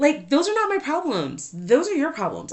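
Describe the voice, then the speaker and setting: A woman speaks loudly in an animated tone. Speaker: podcast host. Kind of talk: casual monologue.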